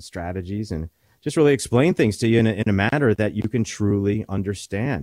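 A man's dark, mellow tone at a fairly quick pace, dry and close with no echo, over a quiet background. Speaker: financial advisor radio host. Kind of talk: radio show talk about retirement planning. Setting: radio studio. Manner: conversational, hesitant with fillers.

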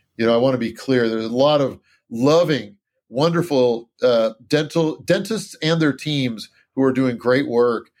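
On a very clean recording with a silent background, a plain, everyday voice speaks at a moderate speed, its pitch varying in an ordinary way. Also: man, medium pitch for a man. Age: 50s. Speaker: dentist. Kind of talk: interview.

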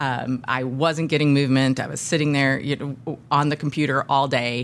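A woman at a moderate pace in a monotone, flat intonation, on a very clean recording with a silent background. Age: 50s. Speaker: podcast host. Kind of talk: interview conversation.

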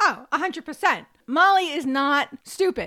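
In a very clean recording with a silent background, a woman uses a raised, projected voice with a bright, sharp tone. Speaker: podcast co-host. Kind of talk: casual banter. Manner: jokey, playful.

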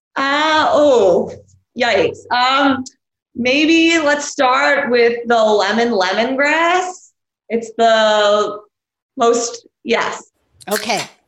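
A woman with an American accent speaks very slowly at a high pitch. Her intonation is lively and her loudness stays very even. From New York City, Queens. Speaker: beverage company founder. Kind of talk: casual chat.

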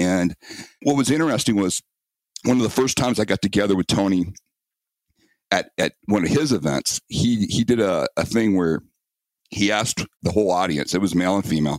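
A man's fairly low voice at a fairly quick pace, with lively intonation, very even loudness and long, frequent pauses. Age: 50s. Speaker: self-protection instructor. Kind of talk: interview.

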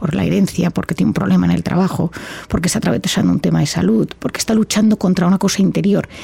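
A woman talking at a very fast pace, with a dry, close sound free of echo and noticeable background noise. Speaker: psychiatrist and author. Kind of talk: interview.

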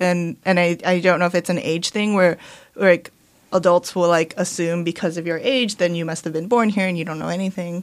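Fairly low-pitched woman with a Californian accent, fairly quick in pace and fairly even in intonation. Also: very clean recording, silent background. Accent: Californian American. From Los Angeles, San Gabriel Valley. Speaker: author. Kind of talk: casual interview. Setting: studio.

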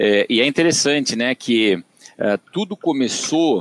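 The intonation is lively. The speaker has a São Paulo interior accent. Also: man. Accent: caipira (São Paulo interior). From Brazil, Tatuí (São Paulo interior). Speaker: agronomist and digital business director. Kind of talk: podcast interview. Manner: hesitant, many fillers.

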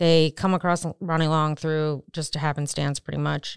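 A woman with an American accent and a fairly low pitch speaks at a moderate pace in a monotone, flat intonation, on a very clean recording with a silent background and a dry, close sound with no echo. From Maryland, US. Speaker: private investigator and podcast co-host. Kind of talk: casual chat. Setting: studio.

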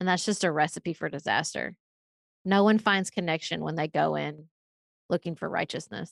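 A woman speaks with a Kentucky accent, her fairly low pitch carrying vocal fry and ordinary pitch variation. The recording is very clean, with a silent background. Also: moderate pace, dry, close sound with no echo. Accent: Southern US, Kentucky. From Paducah, western Kentucky. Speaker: political podcaster, author. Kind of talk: interview.

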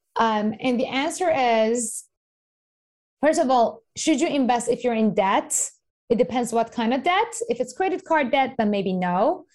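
Her loudness stays very even. This woman speaks fairly slowly in a high voice with lively intonation. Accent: Persian. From Iran. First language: Persian. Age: 30s. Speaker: investing educator and author. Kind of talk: podcast interview.

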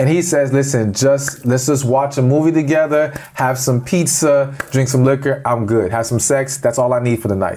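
With an ordinary speaking voice, a man speaks at a moderate pace in a medium pitch, with ordinary pitch variation, very even loudness and hardly any pauses. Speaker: relationship expert. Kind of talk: interview conversation.

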